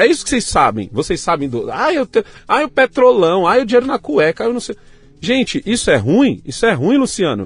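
Over background music, a man with a São Paulo accent talks at a fairly quick pace in an animated tone, the sound dry and close with no echo. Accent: Paulistano Brazilian Portuguese. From São Paulo, Brazil. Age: 40s. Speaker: youtuber, former scrap dealer. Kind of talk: casual interview. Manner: animated, slangy.

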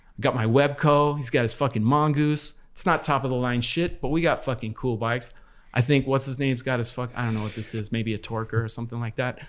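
Heard on a very clean recording with a silent background, a man with an American accent and medium pitch has an ordinary speaking voice, speaking at a fairly quick pace with fairly even intonation and hardly any pauses. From Los Angeles, US. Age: 50s. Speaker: former graffiti artist. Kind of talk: casual chat.

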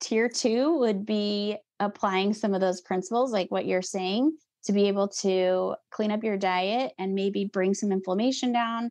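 In a plain, everyday voice, a woman with a medium pitch speaks at a fairly slow pace with ordinary pitch variation against a quiet background. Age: 40s. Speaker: nutritionist and aerial dance company co-founder. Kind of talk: casual interview chat.

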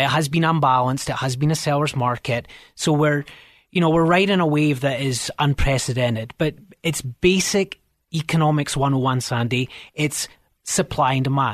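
A Scottish accent at a moderate pace, with ordinary pitch variation and very even loudness, in a dry, close sound with no echo over a quiet background. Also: man, fairly high pitch for a man. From Scotland. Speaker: realtor. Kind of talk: radio interview. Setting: radio studio.

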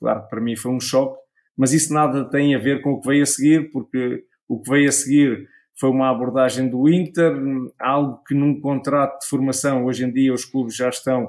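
This man talks at a moderate pace. His intonation stays monotone and flat. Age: 40s. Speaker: former footballer and sports pundit. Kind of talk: casual interview. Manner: halting, frequent repetitions.

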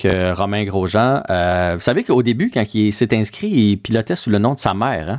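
Speaking with a Quebec accent, a man with a fairly low pitch keeps a moderate pace and ordinary pitch variation over a quiet background. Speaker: sports commentator. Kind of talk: casual chat. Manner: animated.

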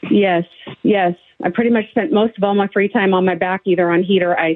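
At a fairly quick pace, a woman with an ordinary speaking voice and medium pitch talks with fairly even intonation. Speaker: patient. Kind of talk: casual phone interview.

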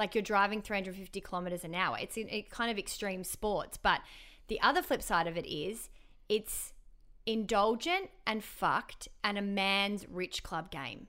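A woman with an Australian accent speaks in a bright, sharp tone with ordinary pitch variation. The recording is very clean, with a silent background. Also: medium pitch for a woman, moderate pace. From Melbourne, Australia. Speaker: radio broadcaster. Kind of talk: casual chat.

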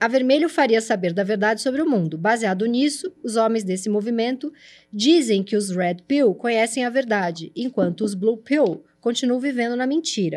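With hardly any pauses, a woman talks at a moderate pace in a normal speaking voice, fairly high in pitch with lively intonation, on a very clean recording with a silent background. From São Paulo, Brazil. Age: 40s. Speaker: videocast host. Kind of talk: casual interview chat.

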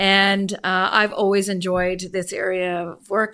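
The speaker has a Canadian accent. The recording is very clean with a silent background. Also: woman. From Vancouver, Canada. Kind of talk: interview. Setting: studio. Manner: measured with frequent fillers.

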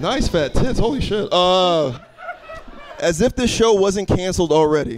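Through noticeable background noise, a man speaks fairly slowly in a high pitch, with very wide pitch swings and very even loudness. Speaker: roast battle emcee. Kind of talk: comedy roast host hyping the crowd. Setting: stage with live audience. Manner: loud, amped-up, crowd-pumping.

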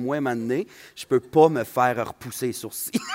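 A man's medium-pitched voice at a moderate pace, lively in intonation, with dry, close sound and no echo. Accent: Saguenay. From Quebec, Saguenay. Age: 20s. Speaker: comedian. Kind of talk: casual chat. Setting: stage with audience.

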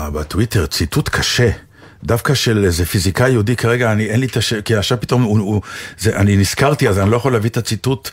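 A man with a fairly low pitch speaks very fast, his voice somewhat breathy. His loudness stays very even, and his pitch variation is ordinary. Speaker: actor and radio co-host. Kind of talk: casual chat.

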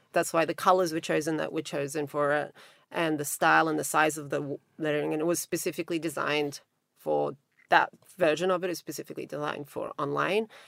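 At a fairly quick pace, a woman speaks with a very deep, low pitch in a dry, close sound with no echo. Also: very clean recording, silent background. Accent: Australian. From Australia. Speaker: magazine founder. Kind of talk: interview.

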